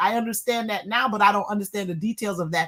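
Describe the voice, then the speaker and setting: Talking at a very fast pace, a woman sounds animated, with ordinary pitch variation over noticeable background noise. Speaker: guest co-host, attorney. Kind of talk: heated panel debate.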